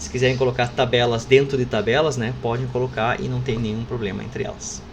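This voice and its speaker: A man speaks at a fairly quick pace with fairly even intonation, amid audible room echo and noticeable background noise. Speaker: university professor. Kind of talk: lecture. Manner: fast; casual, informal.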